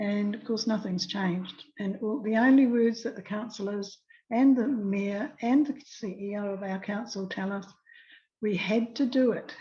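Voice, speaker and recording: Somewhat breathy, fairly high female voice with a dark, mellow tone, a moderate pace and fairly even intonation. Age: 80s+. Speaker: anti-fluoride activist. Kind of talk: testimony. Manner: halting.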